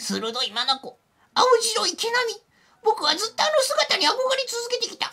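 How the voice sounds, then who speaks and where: A put-on character voice at an extremely high pitch moves along at a fairly slow pace. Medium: game stream. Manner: eager, polite, enthusiastic.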